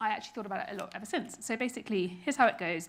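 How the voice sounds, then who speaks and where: With a British accent, a woman speaks at a medium pitch in a bright, sharp tone, her pitch varying in an ordinary way. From Britain. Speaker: keynote speaker, creative strategy executive. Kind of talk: keynote talk. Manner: casual, conversational.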